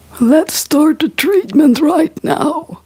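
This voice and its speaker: A woman's high-pitched, wheezy put-on character voice. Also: lively intonation. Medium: read story.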